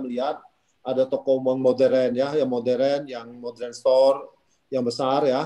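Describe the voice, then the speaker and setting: The speech moves at a moderate pace with lively intonation. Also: man. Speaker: company founder; webinar host or moderator. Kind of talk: discussion moderation. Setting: video call. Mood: friendly, upbeat. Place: home room. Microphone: phone instead of laptop; video call.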